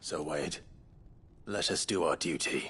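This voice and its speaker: A man puts on a raspy character voice, speaking at a fairly slow pace. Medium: video game. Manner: formal, courtly.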